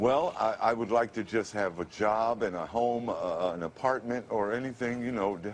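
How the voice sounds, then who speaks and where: A normal speaking voice from a man with an American accent, at medium pitch and moderate pace, with ordinary pitch variation. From Ohio. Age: 50s. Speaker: radio announcer. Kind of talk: interview answer.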